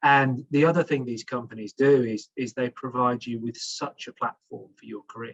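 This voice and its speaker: With a British accent, a man speaks at a moderate pace in a medium pitch, his intonation fairly even. His loudness swings widely, and the sound is dry and close with no echo. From England. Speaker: HR executive, panelist. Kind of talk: panel discussion. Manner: halting, many repetitions.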